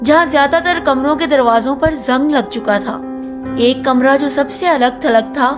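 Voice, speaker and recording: With music in the background, a woman speaks at a high pitch with ordinary pitch variation. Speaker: voice-over narrator. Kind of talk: horror story narration.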